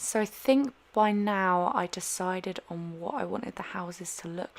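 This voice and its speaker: A woman's voice at a very slow pace over noticeable background noise. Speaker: gaming YouTuber. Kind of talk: casual voiceover commentary. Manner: careful, over-enunciated; rambling, chatty.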